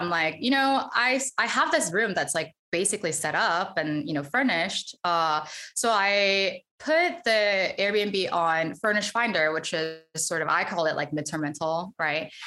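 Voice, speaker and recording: Over music in the background, a woman with a medium pitch speaks at a fairly slow pace with lively intonation and hardly any pauses. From South Korea, moved to US at 12. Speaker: real estate investor and data scientist. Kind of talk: casual interview. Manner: hesitant, many fillers.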